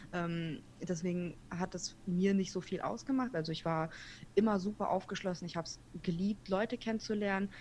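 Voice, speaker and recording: At a moderate pace, a woman speaks in a medium pitch with fairly even intonation. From Kazakhstan, moved to Germany at seven. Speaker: podcaster. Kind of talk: interview.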